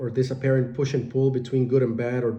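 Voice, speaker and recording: Somewhat breathy and medium in pitch, a man's voice carries audible room echo. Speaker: meditation teacher and life coach. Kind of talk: spoken reflection on meditation. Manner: hesitant with many fillers.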